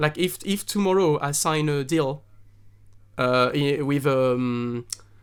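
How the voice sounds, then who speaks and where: With a French accent, a man talks at a very slow pace in a fairly high pitch, his pitch varying in an ordinary way. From southern France. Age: 30s. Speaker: singer-songwriter. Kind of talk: podcast interview. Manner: halting, many fillers and restarts.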